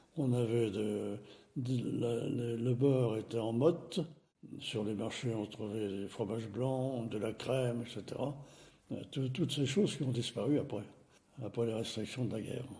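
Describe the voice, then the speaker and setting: A man's somewhat breathy, dark and mellow voice at medium pitch, fairly slow, with ordinary pitch variation and audible room echo. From France, Nevers (Burgundy). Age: 80s+. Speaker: elderly witness of wartime childhood. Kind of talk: life-story interview. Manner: hesitant, many fillers.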